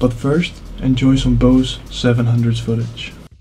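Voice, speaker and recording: A man talks at a moderate pace with a medium pitch. Noticeable background noise sits behind him. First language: not English. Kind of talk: tech tutorial voiceover.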